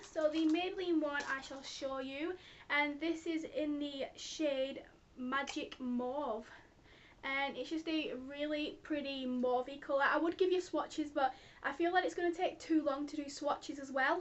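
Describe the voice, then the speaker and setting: Her pitch high and her intonation fairly even, a woman is speaking. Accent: British. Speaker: beauty vlogger. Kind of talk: product review vlog. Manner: fast.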